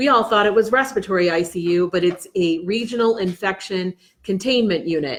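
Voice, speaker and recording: Here a woman speaks at medium pitch with ordinary pitch variation. Her pace is fairly quick. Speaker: county commissioner and ICU nurse. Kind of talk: virtual town hall. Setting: video call. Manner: fast.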